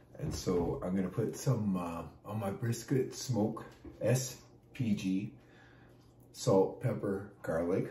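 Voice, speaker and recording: A man's fairly low voice at a very slow pace, with long, frequent pauses and audible room echo. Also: ordinary pitch variation. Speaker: pastor and barbecue cook. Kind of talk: casual cooking tutorial. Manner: casual with many fillers.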